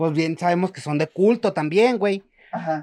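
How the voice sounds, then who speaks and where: A man with a Mexican accent speaks in a high voice, the sound dry and close with no echo. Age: 20s. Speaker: podcast co-host. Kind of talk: casual chat.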